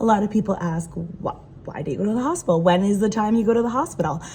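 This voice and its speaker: A woman speaks with a dark, mellow tone and a somewhat breathy quality. Her pitch variation is ordinary. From Rhode Island. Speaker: patient sharing health story. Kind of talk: personal explainer video. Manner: hesitant, many fillers.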